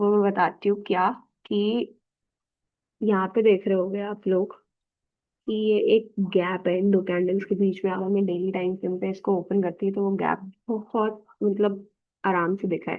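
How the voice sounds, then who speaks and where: At a fairly slow pace, a woman speaks at medium pitch in a monotone, flat intonation. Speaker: trader documenting trading journey. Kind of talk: casual tutorial-style market review.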